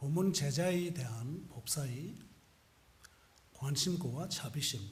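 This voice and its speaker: A man with a non-native accent talks at a very slow pace and a fairly high pitch. His pitch varies in an ordinary way, and audible room echo surrounds him. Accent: foreign accent in Korean. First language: non-Korean (speaking Korean). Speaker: Buddhist monk. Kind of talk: sermon. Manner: halting.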